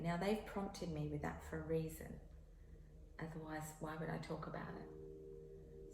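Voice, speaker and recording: A soft-spoken woman talks at a fairly slow pace. The recording carries audible room echo and noticeable background noise. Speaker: tarot reader. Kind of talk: tarot reading. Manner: repetitive hesitations.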